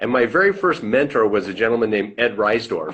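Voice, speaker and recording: A man with a plain, everyday voice speaks at a medium pitch. His pace is fairly quick and his intonation lively. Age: 60s. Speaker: financial services business owner. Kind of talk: interview. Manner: conversational.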